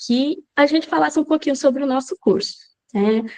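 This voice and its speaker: A woman speaks with a high pitch. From Brazil, Goiás. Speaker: language teacher. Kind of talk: lecture.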